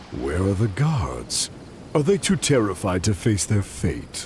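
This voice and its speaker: Over clear background noise, a man does a put-on character voice at a fairly slow pace, fairly low in pitch with very wide pitch swings. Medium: video game. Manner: haughty, mocking.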